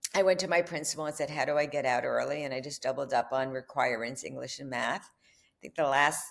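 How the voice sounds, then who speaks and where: A woman talks at a fairly quick pace in a New York accent. The recording is very clean, with a silent background. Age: 70s. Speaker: filmmaker and author. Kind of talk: interview conversation.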